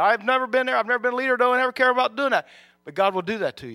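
This man speaks with a raised, projected voice at a very fast pace, his pitch extremely high and his tone bright and sharp. The recording is very clean with a silent background, and the sound is dry and close with no echo. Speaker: preacher. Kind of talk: sermon. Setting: church; church with audience. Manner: fast talker.

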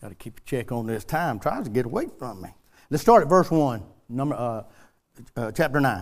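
Speaking in a Southern US accent at a fairly quick pace, a man with a medium pitch uses lively intonation, big swings in loudness, and long, frequent pauses. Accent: US South. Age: 60s. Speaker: preacher. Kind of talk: sermon. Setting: church.

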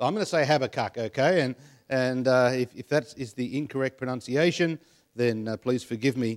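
A man at medium pitch with ordinary pitch variation and a fairly quick pace, in a dry, close sound with no echo and a very clean recording, silent background. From Australia, western Sydney (Penrith). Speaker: preacher. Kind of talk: sermon. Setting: church.

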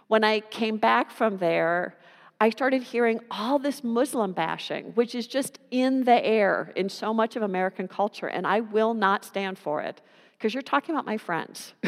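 In a plain, everyday voice, a woman talks at a moderate pace with fairly high pitch and ordinary pitch variation, on a very clean recording with a silent background. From US (California and New Jersey). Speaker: pastor. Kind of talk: sermon.

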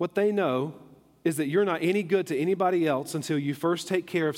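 Using an unremarkable speaking voice, a man talks at a fairly high pitch with ordinary pitch variation. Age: 30s. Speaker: pastor. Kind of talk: sermon. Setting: church.

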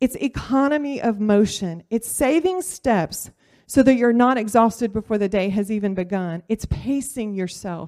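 A woman with a Louisiana accent speaks at a moderate pace, her fairly high voice dark and mellow in tone with lively intonation. The recording is very clean with a silent background, and the sound is dry and close with no echo. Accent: Southern US (Louisiana). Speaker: surgical technologist and church volunteer. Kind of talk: personal testimony talk. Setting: church class with audience.

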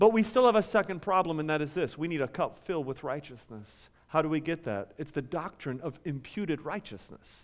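An ordinary speaking voice at a fairly quick pace, hardly any pauses, in a very clean recording with a silent background. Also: man, fairly high pitch for a man, lively intonation. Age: 30s. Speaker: pastor. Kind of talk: sermon. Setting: church.

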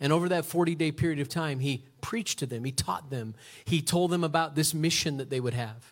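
Somewhat breathy and fairly high-pitched, a man talks at a fairly quick pace with ordinary pitch variation. The recording is very clean over a silent background. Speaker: pastor. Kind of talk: sermon. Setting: church.

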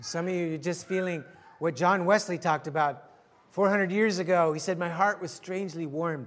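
A man with a high pitch and fairly even intonation. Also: moderate pace. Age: 60s. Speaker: pastor. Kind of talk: sermon. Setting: church.

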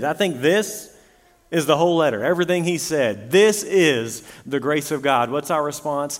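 Noticeable background noise sits behind a man speaking. His pitch is fairly high and his intonation lively. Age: 30s. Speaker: pastor. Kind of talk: sermon.

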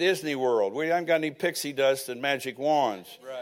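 A man's normal speaking voice, fairly high in pitch, with ordinary pitch variation and a moderate pace in a very clean recording with a silent background. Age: 60s. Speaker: preacher. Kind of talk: sermon. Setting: church.

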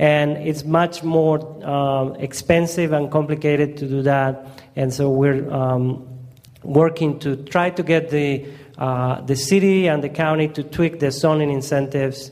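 In a strong Colombian accent, a man speaks at a fairly slow pace with a fairly high pitch and monotone, flat intonation. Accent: heavy Colombian Spanish. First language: Spanish. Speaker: community organizer. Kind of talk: presentation. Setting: church gathering.

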